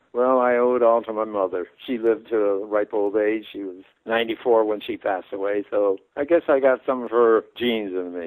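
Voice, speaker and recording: In a Midwestern American accent, a man speaks at a medium pitch and a fairly quick pace with hardly any pauses. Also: fairly even intonation. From Detroit, Michigan. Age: 90s. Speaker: retired engineer and war veteran. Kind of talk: phone interview. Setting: phone call.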